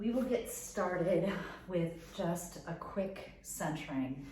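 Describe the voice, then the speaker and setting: With an American accent and a calm, gentle tone, a woman speaks over noticeable background noise. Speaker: yoga teacher. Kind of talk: guided meditation and yoga instruction. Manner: calm, gentle, instructive.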